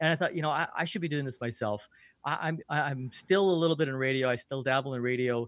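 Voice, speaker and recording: A man with a fairly high voice speaks at a very fast pace. His pitch varies in an ordinary way over a quiet background. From Canada, Vancouver. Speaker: podcast coach and radio host. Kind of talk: interview conversation.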